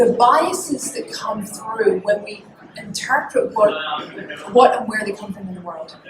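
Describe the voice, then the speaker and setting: A woman with a high-pitched voice is heard with audible room echo and noticeable background noise. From Scotland. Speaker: business and relationship coach, speaker. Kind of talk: public talk. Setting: stage with audience. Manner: animated.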